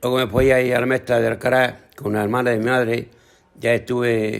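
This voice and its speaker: Flat and monotone in intonation, a man talks at a medium pitch and a moderate pace. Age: 80s+. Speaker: retired farmer. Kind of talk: testimony.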